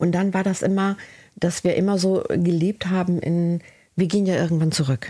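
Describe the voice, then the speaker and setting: A woman with a dark, mellow tone speaks at a medium pitch and a moderate pace, her intonation fairly even and her loudness very even. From northern Germany, Cuxhaven. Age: 50s. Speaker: body and trauma therapist. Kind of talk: interview about her life.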